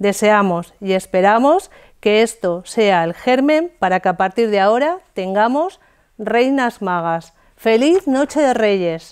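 Her fairly high voice moves with lively intonation at a very slow pace. The woman's tone is warm and playful over a quiet background. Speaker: theatre group actor reading a speech as a Three Kings character. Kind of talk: scripted reading of a festive proclamation, in character. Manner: warm, playful with a laugh, then earnest. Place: studio. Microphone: lapel.

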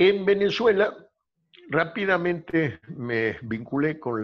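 Speaking very slowly, a man lets his pitch swing very widely. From Argentina, Buenos Aires. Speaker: law professor. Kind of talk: interview. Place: home room. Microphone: video call.

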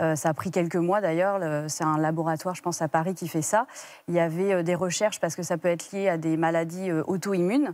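A woman talks at a fairly quick pace in a fairly low voice with fairly even intonation, and the sound is dry with no echo. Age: 30s. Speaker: guest mother sharing infertility story; guest. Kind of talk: TV interview testimony. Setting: TV studio. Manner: halting, many hesitations. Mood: calm, reflective. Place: studio. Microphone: lapel.

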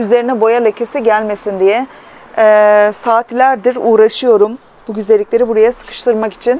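Over light background noise, a woman talks at a moderate pace with fairly even intonation. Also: dry sound with no echo. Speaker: plant hobbyist vlogger. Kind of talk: casual vlog chat. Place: home room. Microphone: phone near.

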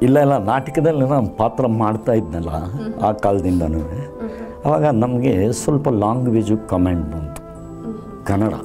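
A man's voice sits fairly low in pitch while clear music plays behind him. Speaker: voice artist and anchor. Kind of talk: interview answer. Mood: warm, proud, at times laughing. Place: studio. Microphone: lapel.

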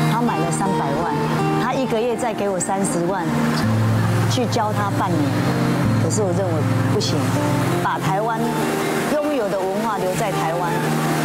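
The speech moves at a moderate pace with long, frequent pauses while clear music plays in the background. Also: woman. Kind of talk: interview answer. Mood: proud, sentimental. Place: shop. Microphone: lapel.

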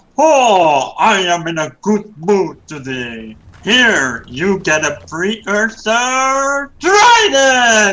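This put-on character voice has a fairly high pitch, very wide pitch swings and a very slow pace. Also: hardly any pauses. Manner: jovial, magnanimous.

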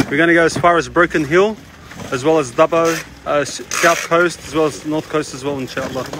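A man's fairly even intonation comes at a fairly quick pace, with noticeable background noise behind him. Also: dry sound with no echo. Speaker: charity worker. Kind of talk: on-site video update. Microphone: phone near.

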